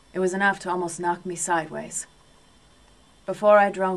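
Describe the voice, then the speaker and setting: A woman's fairly low voice at a moderate pace, in monotone, flat intonation. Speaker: audiobook narrator. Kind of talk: audiobook narration. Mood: calm, measured literary reading. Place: booth. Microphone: studio mic.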